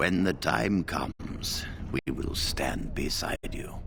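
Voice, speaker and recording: A man puts on a character voice with a very deep, low pitch. He goes at a fairly slow pace, and the sound is dry and close with no echo. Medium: video game. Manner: formal, dignified.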